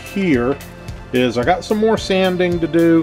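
With faint music playing behind him, a man talks at a moderate pace. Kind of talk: casual vlog chat. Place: home room.

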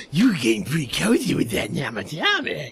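At a moderate pace, a put-on character voice talks at a middle pitch. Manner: creepy, friendly-sleazy.

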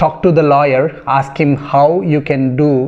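Fairly even intonation marks this man's speech. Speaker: real estate agent vlogger. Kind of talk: casual explainer vlog. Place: home room. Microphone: phone near.

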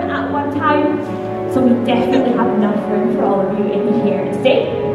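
Loud music fills the background as a woman talks in a space with audible room echo. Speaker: tour guide. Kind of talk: tour guide commentary. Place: hall.

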